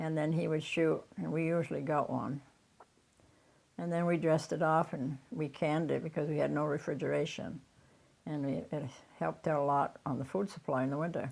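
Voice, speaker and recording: Speaking fairly quickly with an American accent, the woman has a very deep, low pitch, vocal fry and fairly even intonation. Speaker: elderly farmer. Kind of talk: interview reminiscence.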